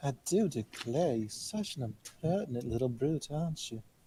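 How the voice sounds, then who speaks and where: A man puts on a drawling character voice at a medium pitch. He keeps a moderate pace. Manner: genteel, drawling, sweetly scolding.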